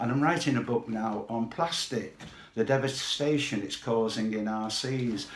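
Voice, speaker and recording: A man with a Mancunian accent, medium pitch and ordinary pitch variation, at a moderate pace, with audible room echo and noticeable background noise. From Manchester, northern England. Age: 80s+. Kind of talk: testimony.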